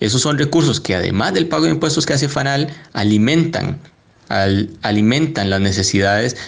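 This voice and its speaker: This man talks at a moderate pace in an ordinary speaking voice. His medium pitch carries lively intonation. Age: young. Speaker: economist and parliamentary adviser. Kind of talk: panel debate.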